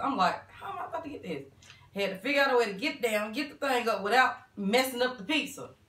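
Speaking at a very fast pace, a woman with a high pitch is heard with audible room echo. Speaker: mukbang host. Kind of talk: casual vlog chat. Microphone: camera far.

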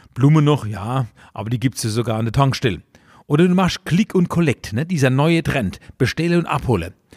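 A man speaks with very wide pitch swings. The recording is very clean and dry, close with no echo, over a silent background. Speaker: cabaret artist. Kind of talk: comedic dialect monologue, satirical commentary. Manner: chatty, humorous.

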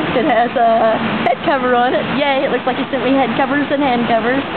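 Loud background noise surrounds the speaker. A woman talks at a fairly quick pace. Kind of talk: casual vlog chat. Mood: excited, delighted. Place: hall. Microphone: phone near.

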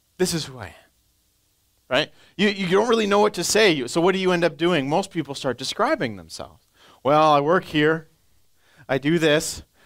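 A man speaks at a high pitch with lively intonation and a moderate pace. He leaves long, frequent pauses against a quiet background. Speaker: pastor; preacher or teacher. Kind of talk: sermon. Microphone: headset.

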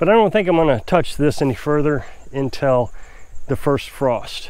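The intonation is lively, and the sound is dry with no echo. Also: man. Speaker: off-grid homesteader vlogger. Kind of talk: casual vlog chat. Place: open country. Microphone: lapel.

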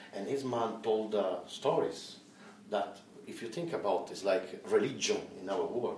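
In an Italian accent, a man talks at a fairly slow pace with big swings in loudness, over light background noise and audible room echo. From Italy. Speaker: film director; interviewee. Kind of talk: interview; interview answer. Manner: halting. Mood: relaxed, cheerful.

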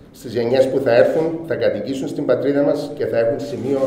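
A man talks at a moderate pace amid light background noise and audible room echo. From Cyprus, Famagusta; Cyprus. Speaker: businessman. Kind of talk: formal speech. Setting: award ceremony. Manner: formal. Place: hall. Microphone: podium.

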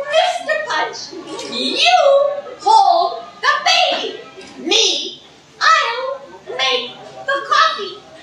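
In a cartoonish character voice at an extremely high pitch, a woman talks at a very slow pace with very wide pitch swings, long, frequent pauses and a slight echo. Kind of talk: live puppet show performance.

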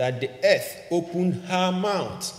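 Heard with audible room echo, a man speaks at a fairly slow pace in a high pitch with lively intonation. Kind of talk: sermon. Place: church. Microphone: podium.

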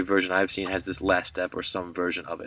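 The sound is dry, with no echo. A man talks at a very fast pace. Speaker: math teacher. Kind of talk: tutorial.

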